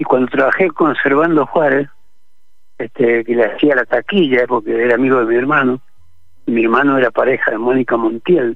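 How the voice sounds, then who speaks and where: A man speaks in a plain, everyday voice. His pitch is medium and his intonation fairly even. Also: moderate pace. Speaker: actor. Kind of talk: radio interview. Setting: phone call from the street.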